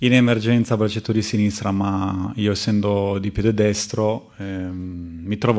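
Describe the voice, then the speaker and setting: Over a quiet background, a man speaks at a fairly low pitch with monotone, flat intonation. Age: 20s. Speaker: professional footballer. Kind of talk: press conference. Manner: halting, with many fillers. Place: meeting room. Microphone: podium.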